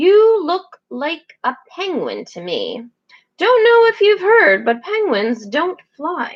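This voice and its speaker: In a put-on character voice, a woman speaks at a very slow pace, her extremely high pitch making very wide swings. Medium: read story.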